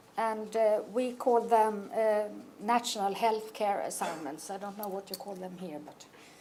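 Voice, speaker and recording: With a Swedish accent, a woman talks at a fairly slow pace and fairly high pitch in a dark, mellow tone, with ordinary pitch variation, big swings in loudness and audible room echo. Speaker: oncology nurse. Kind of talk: conference presentation. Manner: halting.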